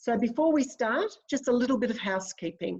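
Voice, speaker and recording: Lively intonation from a woman with an Australian accent. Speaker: webinar facilitator, academic. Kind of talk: webinar moderation. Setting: video call.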